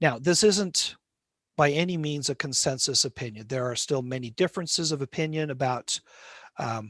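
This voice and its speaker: A man with an American accent uses a normal speaking voice at a fairly high pitch, with ordinary pitch variation and a fairly quick pace. The sound is dry and close with no echo, over a quiet background. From Utah (Salt Lake City). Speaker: linguistics professor. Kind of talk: lecture.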